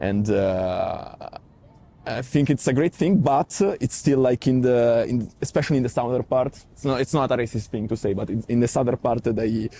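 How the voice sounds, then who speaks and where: With an Italian accent, a man speaks at medium pitch and a moderate pace, with ordinary pitch variation. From Italy. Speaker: Italian media worker. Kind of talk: interview. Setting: parliament building. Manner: halting.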